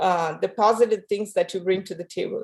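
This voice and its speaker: A woman with a non-native accent, over a quiet background. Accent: foreign. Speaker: physician. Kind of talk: panel discussion. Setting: video call.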